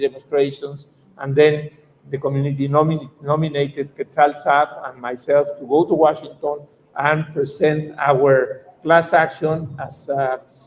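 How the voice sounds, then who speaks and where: In a Mexican accent, a man speaks at a fairly high pitch. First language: Spanish. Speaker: activist lawyer. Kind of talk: conference talk. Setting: conference panel. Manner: halting.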